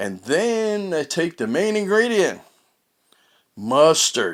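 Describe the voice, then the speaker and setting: In a very clean recording against a silent background, a man's voice shows vocal fry. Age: 70s. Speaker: vlogger. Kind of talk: casual monologue. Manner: conversational.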